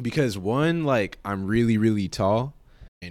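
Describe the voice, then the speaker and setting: In a very clean recording with a silent background, a man with an American accent and a plain, everyday voice speaks at a moderate pace and a fairly low pitch. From California. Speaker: guest on identity podcast. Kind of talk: casual chat. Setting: studio.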